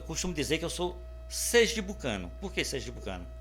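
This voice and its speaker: A man's voice with music in the background and audible room echo. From Sergipe, Brazil (Aracaju). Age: 60s. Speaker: writer and retired bank employee, interviewee. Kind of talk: interview. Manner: halting, with repetitions.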